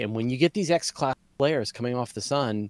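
A very fast male voice, dry with no echo, over a quiet background. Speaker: podcast host. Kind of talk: casual conversation.

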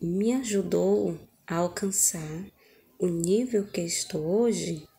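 A woman speaks very slowly in a medium pitch, her tone dark and mellow. The voice is somewhat breathy and fairly even in intonation. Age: 30s. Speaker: sign language student. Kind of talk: testimony. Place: home room. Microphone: phone near.

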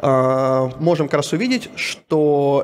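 Over light background noise, a man speaks in an unremarkable speaking voice with a fairly high pitch and ordinary pitch variation. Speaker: BIM company CEO; conference presenter. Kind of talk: conference talk. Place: hall. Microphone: handheld.

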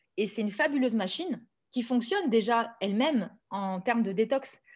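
A woman's fairly high voice with lively intonation at a moderate pace, against a quiet background. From southern France (Nice); southern France. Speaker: naturopath and author; guest. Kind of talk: interview. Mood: warm, enthusiastic. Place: home room. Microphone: video call.

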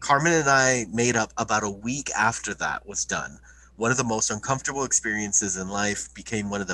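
A natural reading voice is heard. Its pitch shifts in an ordinary way.

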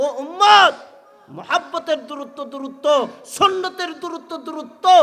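A man speaks in a raised, projected voice with an animated tone, against noticeable background noise. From Bangladesh, Tangail area. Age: 30s. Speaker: Islamic preacher. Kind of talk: sermon. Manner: loud.

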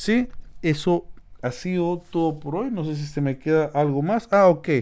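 The man's voice sits at a high pitch, and his intonation is lively. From Peru, Lima. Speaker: YouTube instructor. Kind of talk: tutorial. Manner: casual, with fillers.

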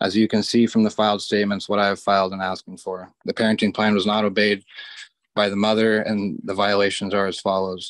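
Against a quiet background, a man talks at a fairly quick pace with a fairly low pitch and monotone, flat intonation in a dry sound with no echo. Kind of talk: courtroom statement reading allegations. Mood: formal, aggrieved.

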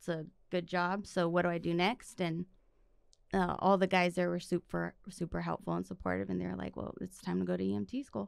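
A woman at a fairly quick pace, dry sound with no echo, quiet background. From East Los Angeles, California; California. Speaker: physician assistant; podcast guest. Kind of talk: casual chat. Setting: studio. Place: studio. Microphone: studio mic.

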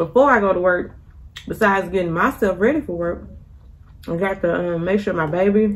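The woman's pitch varies in an ordinary way as she talks at a moderate pace. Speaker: vlogger. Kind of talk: casual vlog chat while eating. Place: kitchen. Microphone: phone near.

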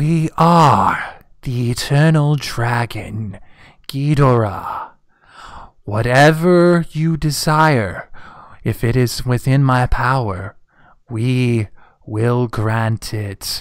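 A put-on character voice from a man at medium pitch, very slow, with long, frequent pauses. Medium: actual play. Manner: solemn, formal.

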